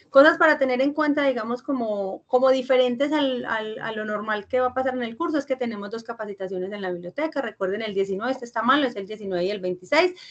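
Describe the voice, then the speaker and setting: A woman with a Paisa accent, very fast pace and lively intonation. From Colombia, Antioquia (Fredonia). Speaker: university teacher. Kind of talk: online lecture. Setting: video call class.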